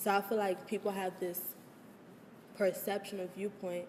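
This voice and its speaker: Through noticeable background noise, a woman keeps a moderate pace. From Maryland (Prince George's County), US. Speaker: college student interviewee. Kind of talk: interview. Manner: loud at times.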